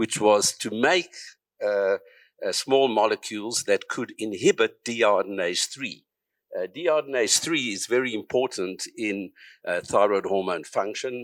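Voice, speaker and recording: Someone with a South African accent speaks at a fairly slow pace in a dry, close sound with no echo, on a very clean recording with a silent background. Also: man. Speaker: psychiatrist and researcher. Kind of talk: conference talk.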